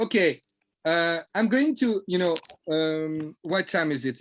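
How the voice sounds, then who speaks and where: A man with a French accent and fairly high pitch speaks with ordinary pitch variation in a dry, close sound with no echo. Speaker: trading coach. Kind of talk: lecture. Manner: halting.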